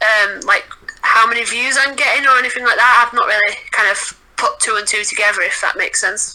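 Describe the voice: A woman with a Yorkshire accent speaks at a fairly quick pace. Her fairly high voice has a bright, sharp tone. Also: fairly even intonation. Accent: Northern English, Yorkshire.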